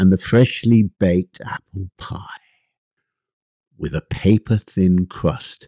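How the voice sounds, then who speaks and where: A man's very deep, low voice with an English accent, dark and mellow in tone, at a very slow pace with long, frequent pauses, big swings in loudness, fairly even intonation, and a dry, close sound with no echo. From England. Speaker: author. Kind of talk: casual talk to camera.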